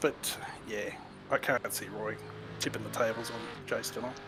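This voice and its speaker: Over music in the background, a man with an Australian accent talks at a moderate pace. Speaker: sim racing commentator. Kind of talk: live commentary.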